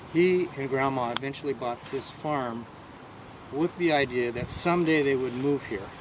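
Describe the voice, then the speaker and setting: A man with an American accent speaks at a moderate pace in a fairly high pitch, his pitch varying in an ordinary way over noticeable background noise. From Bainbridge Island, Washington, US. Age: 60s. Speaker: farm tour guide. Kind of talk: guided tour talk.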